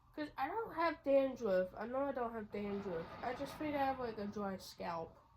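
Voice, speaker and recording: A woman speaks at a moderate pace with a high pitch. Noticeable background noise is audible. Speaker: YouTuber reviewing edibles. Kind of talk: casual vlog chat. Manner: casual, rambling with fillers.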